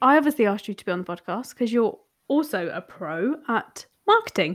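Fairly quick speech from a woman in a British accent, with a fairly high pitch and lively intonation. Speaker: podcast host, marketing coach. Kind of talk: casual interview chat. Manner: animated, swears casually.

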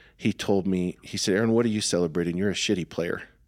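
Very clean with a silent background, the recording captures a man's plain, everyday voice at fairly low pitch with fairly even intonation. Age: 40s. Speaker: podcast co-host. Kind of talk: casual chat.

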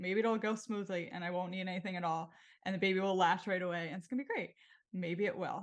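Against a quiet background, a woman with a normal speaking voice talks at medium pitch with ordinary pitch variation. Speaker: podcast host. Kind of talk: casual interview chat.

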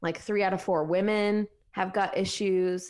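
Against a quiet background, a woman with an American accent speaks at medium pitch and a moderate pace in an unremarkable speaking voice. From Ohio, US Midwest. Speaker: functional dietitian and business coach. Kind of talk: casual interview.

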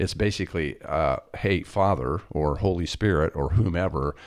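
With an American accent, a man speaks at a moderate pace with very deep, low pitch and lively intonation. The recording is very clean, with a silent background. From US Midwest, Kansas. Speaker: podcast co-host. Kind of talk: casual chat.

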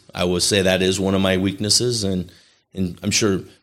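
Recorded very cleanly against a silent background, a man with an unremarkable speaking voice and an American accent talks at a moderate pace with fairly low pitch. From Chicago area, US Midwest. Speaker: casino company executive. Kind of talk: casual interview.

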